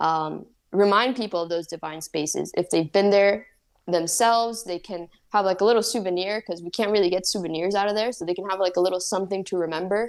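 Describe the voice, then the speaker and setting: A woman with a Spanish accent speaks very fast at a medium pitch with fairly even intonation. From Spanish-speaking country and the US. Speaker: painter and psychedelics advocate. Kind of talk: interview conversation. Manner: casual, many fillers.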